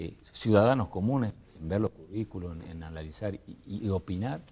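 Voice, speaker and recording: Fairly low in pitch, a man talks fairly quickly with a dark, mellow tone. His pitch varies in an ordinary way. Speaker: political panelist. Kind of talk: televised panel debate.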